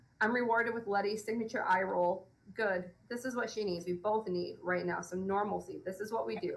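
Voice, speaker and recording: At a fairly quick pace, a woman talks at a medium pitch with ordinary pitch variation. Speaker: romance author. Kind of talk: reading aloud. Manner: occasional stumbles while reading.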